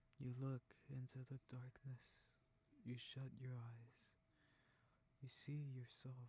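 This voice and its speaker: A soft-spoken voice whispers. The pace is very slow. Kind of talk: sleep whisper narration. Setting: close mic recording. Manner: whispered, soft, slow.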